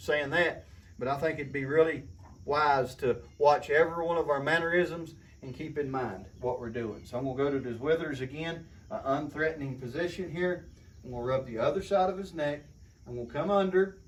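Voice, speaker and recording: This man has a fairly high pitch and a somewhat breathy voice. He talks at a fairly quick pace with ordinary pitch variation. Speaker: horse trainer. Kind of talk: tutorial. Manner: soft-spoken.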